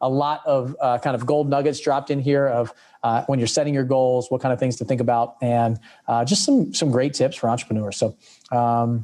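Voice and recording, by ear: Speaking at a fairly quick pace, a man uses a medium pitch, a dark, mellow tone, and fairly even intonation.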